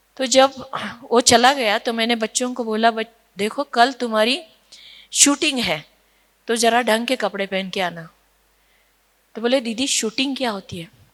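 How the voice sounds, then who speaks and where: A woman speaks with a Marathi accent, her pitch varying in an ordinary way and her speech broken by long, frequent pauses. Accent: Marathi-tinged Hindi. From Nashik, Maharashtra, India. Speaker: social worker. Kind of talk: conference talk. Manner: storytelling with hesitations.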